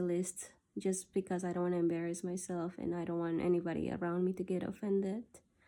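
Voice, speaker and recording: In a Spanish accent, a woman speaks at a very fast pace with hardly any pauses, her medium pitch held in a monotone, flat intonation. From South America. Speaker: video diarist. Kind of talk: personal gratitude monologue. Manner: halting.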